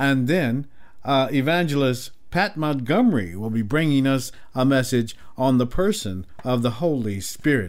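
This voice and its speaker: This man has an ordinary speaking voice at medium pitch, talking at a moderate pace with lively intonation. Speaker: gospel radio host. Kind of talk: radio dj patter. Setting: radio studio. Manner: warm; smooth.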